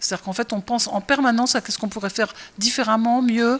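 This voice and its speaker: Her pitch is fairly high and her pace fairly quick. This woman's intonation stays monotone and flat. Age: 60s. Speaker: restaurant chef and owner. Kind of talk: interview. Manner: hesitant, many fillers.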